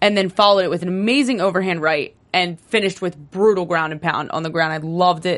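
A woman with an American accent talks at a very fast pace with hardly any pauses, her fairly low voice animated and her pitch varying in an ordinary way over a quiet background. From New Jersey. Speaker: sports podcast host. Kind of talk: casual chat.

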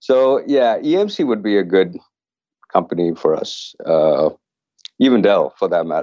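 A man speaking at a fairly slow pace, with long, frequent pauses. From Canada. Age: 40s. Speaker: tech startup founder. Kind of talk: interview. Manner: halting, many fillers.

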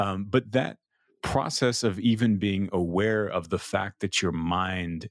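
A man with an American accent talks in a fairly low voice with ordinary pitch variation, recorded very cleanly against a silent background with a dry, close sound and no echo. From Texas, Austin. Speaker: meditation teacher. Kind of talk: interview conversation.

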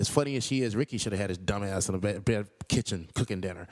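Very fast, lively male speech on a very clean recording with a silent background. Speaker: dating advice guest. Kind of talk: casual storytelling and advice.

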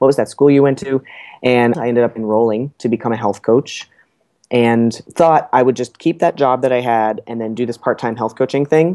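A man with an American accent speaks in a medium pitch with a dark, mellow tone and fairly even intonation, in a dry, close sound with no echo. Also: moderate pace. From New Jersey. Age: 30s. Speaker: health coach. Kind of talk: casual interview.

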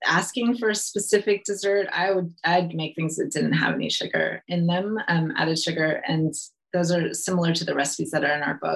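Somewhat breathy, this voice moves at a moderate pace with an American accent. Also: woman. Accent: American accent, though living in UK. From California, US. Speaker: nutrition educator, recipe developer, book co-author. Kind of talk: casual interview chat.

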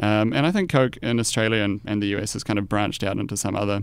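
A man talks at a very fast pace with a New Zealand accent. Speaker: investment analyst. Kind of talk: casual interview. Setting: studio.

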